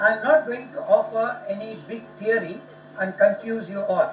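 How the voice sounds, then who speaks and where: A man with a Tamil accent speaks at high pitch with lively intonation. There is noticeable background noise and audible room echo. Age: 70s. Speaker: professor. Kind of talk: lecture. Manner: formal.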